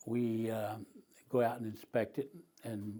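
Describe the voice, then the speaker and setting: This man's tone is dark and mellow. He keeps his intonation fairly even. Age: 80s+. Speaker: retired township public services director. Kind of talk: oral history interview. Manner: halting.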